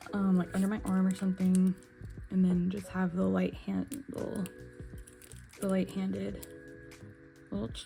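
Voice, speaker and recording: With music playing behind her, a woman speaks with long, frequent pauses. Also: moderate pace. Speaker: nail art youtuber. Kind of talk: casual product review vlog. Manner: hesitant, many fillers.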